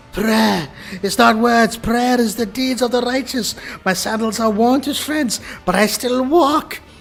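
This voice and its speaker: Over music in the background, a man does a put-on character voice at an extremely high pitch, wheezy and shaky, with ordinary pitch variation and a moderate pace. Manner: desperate pleading.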